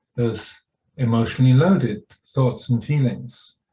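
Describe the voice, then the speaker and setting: A man's somewhat breathy voice with a dark, mellow tone, medium pitch and ordinary pitch variation, at a very slow pace. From England. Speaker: Buddhist monk and meditation teacher. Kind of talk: guided meditation. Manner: slow, calm, unhurried, with long pauses.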